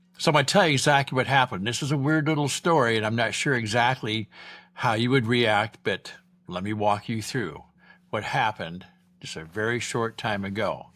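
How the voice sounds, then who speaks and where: In a plain, everyday voice, a man with an American accent talks at a fairly quick pace, his pitch medium and its variation ordinary, on a very clean recording with a silent background. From Iowa. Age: 60s. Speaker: vlogger, retired ex-cop. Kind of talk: casual vlog monologue.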